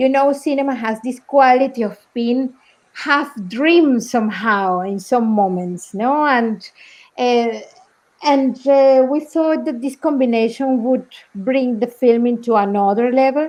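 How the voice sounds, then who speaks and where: A woman with a Spanish accent and a high-pitched voice, very slow pace, quiet background. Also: ordinary pitch variation. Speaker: documentary film director. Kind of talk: festival Q&A talk. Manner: halting.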